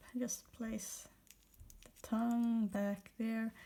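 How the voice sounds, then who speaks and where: Somewhat breathy and dark, mellow in tone, the voice moves at a very slow pace with monotone, flat intonation and a non-native accent. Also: woman. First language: not English. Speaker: toy repair video maker. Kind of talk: tutorial. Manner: casual, with self-corrections.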